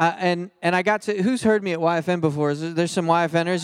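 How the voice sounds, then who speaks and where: This man has a high-pitched voice with an American accent. He speaks at a moderate pace. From US Northeast, Philadelphia. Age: 30s. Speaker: pastor. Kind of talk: sermon. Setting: church stage with audience. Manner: animated.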